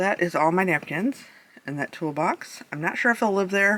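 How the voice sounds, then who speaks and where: A woman with an unremarkable speaking voice, fairly low in pitch, at a moderate pace with ordinary pitch variation. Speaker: craft channel host. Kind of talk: casual room tour. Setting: basement of her house. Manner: casual, chatty.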